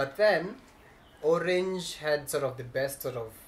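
With a Kenyan accent, a somewhat breathy man talks at a moderate pace over light background noise. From Nairobi, Kenya. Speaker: tech youtuber. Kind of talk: casual chat. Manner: upbeat, chatty. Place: home room.

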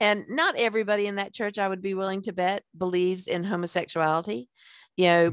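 Over a quiet background with dry sound and no echo, a woman talks at a fairly quick pace in an ordinary speaking voice with fairly even intonation. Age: 60s. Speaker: podcast host and life coach; podcast host or guest. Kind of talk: casual interview chat. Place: home room. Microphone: headset.

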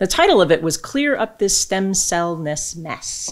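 A woman's normal speaking voice, fairly low in pitch, with lively intonation, a moderate pace and a quiet background. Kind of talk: lecture. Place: hall. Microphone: podium.

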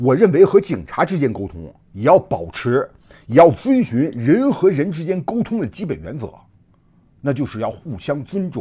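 A man with vocal fry, a fairly high pitch, a dark, mellow tone, very wide pitch swings, big swings in loudness and a moderate pace. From mainland China. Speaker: online commentator. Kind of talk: casual monologue. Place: home room.

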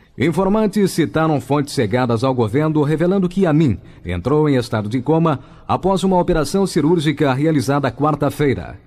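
A man's fairly high voice with lively intonation, at a moderate pace. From Brazil. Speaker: radio newsreader. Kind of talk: telegraphic hourly radio news bulletin, clipped headline sentences with sponsor reads. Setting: radio studio broadcast. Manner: crisp, brisk, formal announcer delivery; rhythmic, punchy headline cadence, articles dropped. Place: studio.

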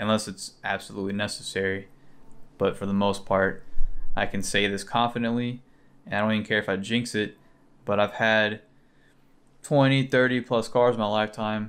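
A man speaks at a fairly low pitch in a monotone, flat way, leaving long, frequent pauses. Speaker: car vlogger. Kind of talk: casual vlog chat. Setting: beside his car, recording on an action camera. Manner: talks fast at times, mumbles. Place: home room.

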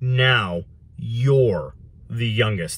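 A man's put-on character voice at a medium pitch, with hissing. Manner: hissed, fierce.

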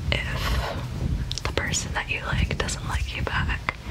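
Over loud background noise, a soft-spoken woman talks at a very slow pace. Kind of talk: roleplay chat to camera. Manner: soft, hushed ASMR comforting voice. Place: home room. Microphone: phone near.

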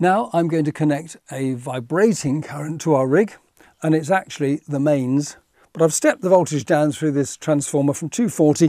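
A man speaks at a moderate pace with a dark, mellow tone and ordinary pitch variation. The sound is dry with no echo, and the background is quiet. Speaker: presenter. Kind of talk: tutorial. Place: studio. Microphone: lapel.

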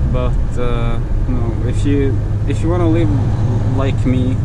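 Man's voice with ordinary pitch variation amid loud background noise. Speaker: truck driver vlogger. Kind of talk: casual vlog chat. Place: car.

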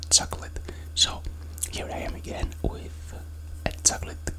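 Whispering, a man speaks at a fairly slow pace. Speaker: food vlogger. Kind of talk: casual vlog chat. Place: home room. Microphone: lapel.

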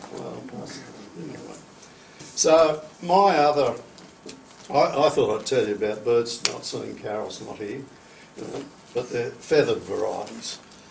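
With an Australian accent, a man speaks at a moderate pace with long, frequent pauses and big swings in loudness over light background noise. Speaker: collector. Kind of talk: casual storytelling. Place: meeting room. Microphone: camera far.

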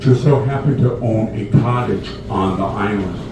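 A man speaks at a very slow pace. Audible room echo and noticeable background noise surround his voice. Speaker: boat tour guide. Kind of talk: tour commentary. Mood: humorous, relaxed. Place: boat.

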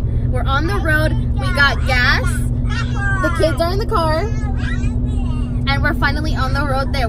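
Loud background noise accompanies a woman speaking at a moderate pace, the sound dry with no echo. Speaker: family vlogger. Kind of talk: casual vlog chat. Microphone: phone near.

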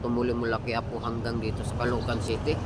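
Over noticeable background noise, a man speaks at a very fast pace. Room echo is audible. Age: 50s. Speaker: vlogger. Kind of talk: casual vlog monologue.

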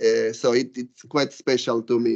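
The voice carries an Argentinian accent. The background is quiet. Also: man. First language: Spanish. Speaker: law professor. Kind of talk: casual chat; lecture. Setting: stage with audience. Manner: hesitant with filler words. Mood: warm, grateful. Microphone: video call.

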